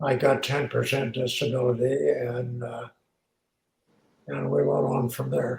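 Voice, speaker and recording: A man speaks at a fairly slow pace with a somewhat breathy voice. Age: 80s+. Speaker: war veteran. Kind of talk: interview.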